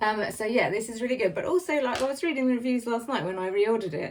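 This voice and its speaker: A woman with an English accent speaks at a fairly quick pace. Her fairly high voice carries lively intonation. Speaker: beauty vlogger. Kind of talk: casual product review. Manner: fast.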